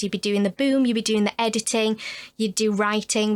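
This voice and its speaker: The recording is very clean, with a silent background. A woman with a medium pitch speaks in a northern English accent with a monotone, flat intonation. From northern England, Huddersfield. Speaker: actor and writer. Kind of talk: casual chat.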